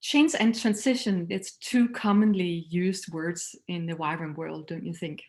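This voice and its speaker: This woman has a Danish accent and a medium pitch. She talks at a moderate pace with ordinary pitch variation against a quiet background. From Denmark. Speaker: missions leader and speaker. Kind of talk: recorded talk.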